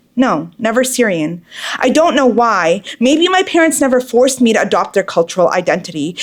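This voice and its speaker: A woman with an American accent, high-pitched with very wide pitch swings, talking at a fairly quick pace over noticeable background noise. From Boston, US. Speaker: poet. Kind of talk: spoken word poetry performance.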